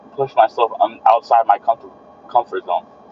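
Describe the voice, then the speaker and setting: Noticeable background noise sits behind this man's voice. The sound is dry and close, with no echo. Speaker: streamer and fitness content creator. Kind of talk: live stream monologue. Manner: repeats words; casual motivational.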